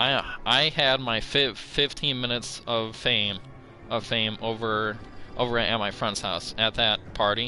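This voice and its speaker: Over music in the background, a man speaks at a medium pitch and a fairly slow pace with fairly even intonation. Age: 20s. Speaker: gaming streamer. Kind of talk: casual chat. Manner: halting.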